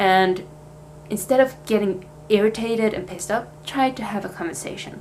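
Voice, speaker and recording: A woman speaks at a medium pitch. She has a Swedish accent. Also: ordinary pitch variation, moderate pace. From Sweden. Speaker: vlogger, language student. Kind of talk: casual vlog talk. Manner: casual, hesitant with fillers.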